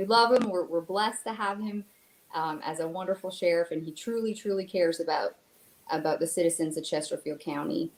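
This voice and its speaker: A woman with a slight Canadian accent speaks in a medium pitch. She talks at a fairly quick pace with ordinary pitch variation. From Canada. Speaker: victim advocate. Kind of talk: panel interview.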